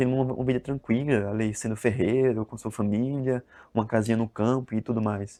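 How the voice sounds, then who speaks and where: Over a quiet background, a man talks at a fairly quick pace in a medium pitch with a dark, mellow tone. His intonation is monotone and flat, and the sound is dry and close with no echo. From Brazil, Northeast (interior of Alagoas). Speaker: book reviewer, video blogger. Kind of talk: casual book review vlog. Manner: hesitant, many fillers and repetitions.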